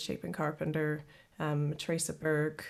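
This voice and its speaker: Recorded very cleanly with a silent background, a woman speaks at a moderate pace. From Canada, Kenora, Ontario. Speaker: singer-songwriter. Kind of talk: interview. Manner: halting.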